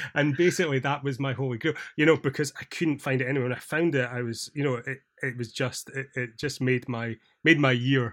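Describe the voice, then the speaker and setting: A man with a Scottish accent, fairly quick pace and fairly even intonation. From Scotland. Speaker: podcast host. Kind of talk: casual chat.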